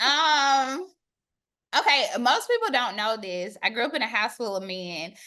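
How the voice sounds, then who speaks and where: A woman with a high voice speaks in a bright, sharp, animated tone with lively intonation, going fairly slowly and leaving long, frequent pauses. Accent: slight Southern US. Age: 40s. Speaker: academic. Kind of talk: casual chat.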